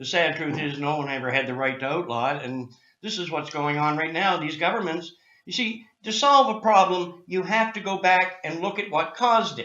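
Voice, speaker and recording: A man speaks in a high pitch with lively intonation at a moderate pace. Audible room echo surrounds his voice. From Canada, Nova Scotia. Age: 60s. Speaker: cannabis activist. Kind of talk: interview. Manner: animated.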